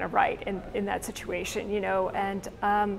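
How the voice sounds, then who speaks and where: A woman's voice with vocal fry at a moderate pace, over light background noise. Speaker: interviewee. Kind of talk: interview answer. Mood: earnest, thoughtful.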